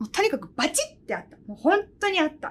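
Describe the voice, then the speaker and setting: Speaking at a fairly quick pace, a woman has an animated tone. Her pitch moves in very wide swings. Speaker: pianist and podcast host. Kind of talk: casual chat.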